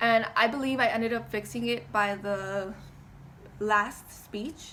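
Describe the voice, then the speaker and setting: The voice has a bright, sharp tone and fairly even intonation at a fairly slow pace. Room echo is audible. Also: woman, fairly high pitch for a woman. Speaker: college student. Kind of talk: class speech presentation. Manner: shaky when nervous.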